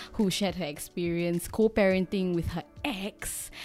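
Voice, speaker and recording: The speaker is a woman. Music plays in the background. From Singapore. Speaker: podcast host. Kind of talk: casual chat.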